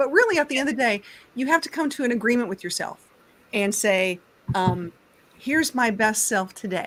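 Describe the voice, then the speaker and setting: An unremarkable speaking voice from a woman, fairly high in pitch and fairly quick, with ordinary pitch variation. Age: 50s. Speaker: youtuber guest. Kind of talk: casual chat.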